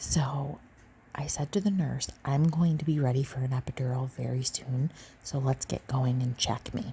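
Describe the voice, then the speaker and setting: Soft-spoken and relaxed, a woman with a very deep, low pitch talks at a moderate pace in a dark, mellow, somewhat breathy tone with ordinary pitch variation. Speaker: mother and ASMR content creator. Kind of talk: soft-spoken ASMR personal story about labor and childbirth. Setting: lying in bed next to a sleeping child. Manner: soft-spoken, relaxed, chatty.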